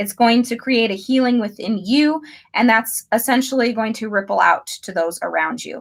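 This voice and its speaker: A woman's somewhat breathy voice in an American accent, with ordinary pitch variation. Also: fairly high pitch for a woman, moderate pace. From United States. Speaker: tarot reader. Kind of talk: live tarot reading. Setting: livestream.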